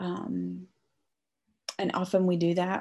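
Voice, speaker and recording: A woman's fairly low voice, dark and mellow in tone, at a very slow pace. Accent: American. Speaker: author. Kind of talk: casual interview conversation.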